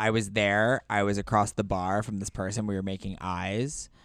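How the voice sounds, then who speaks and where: A man speaks at a moderate pace in a fairly low voice with fairly even intonation, a normal speaking voice. The recording is very clean with a silent background. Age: 30s. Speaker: podcast guest. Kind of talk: casual chat.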